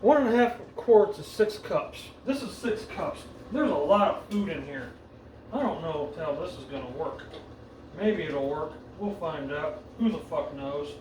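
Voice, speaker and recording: At a moderate pace, a man with a high pitch swings very widely in pitch and greatly in loudness, with audible room echo and noticeable background noise. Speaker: home cook vlogger. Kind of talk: casual cooking tutorial. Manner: casual, profane, reading instructions aloud; mumbling and getting quiet.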